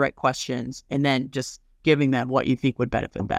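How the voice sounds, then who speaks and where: Using a normal speaking voice, a man with an American accent talks at a fairly quick pace and medium pitch with fairly even intonation, recorded dry and close with no echo. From Colorado. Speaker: pharmacy owner. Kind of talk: casual interview.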